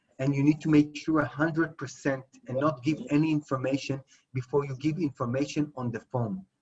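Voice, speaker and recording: A man speaks at a fairly quick pace with a fairly high pitch. His voice is somewhat breathy. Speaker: cyber security lecturer. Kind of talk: lecture. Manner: fast.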